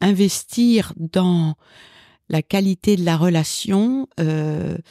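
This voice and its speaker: Dry and close with no echo, and recorded very cleanly over a silent background, a woman speaks at a fairly low pitch with a dark, mellow tone and ordinary pitch variation. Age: 60s. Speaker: executive coach and psychotherapist. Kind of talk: interview. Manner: hesitant, many filler sounds.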